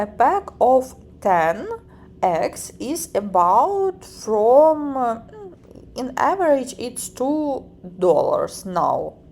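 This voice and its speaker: Speaking in a Ukrainian accent, a woman talks at a very slow pace with long, frequent pauses. Her high pitch moves in very wide swings. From Ukraine. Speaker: vlogger. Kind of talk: vlog narration. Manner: halting, with filler words.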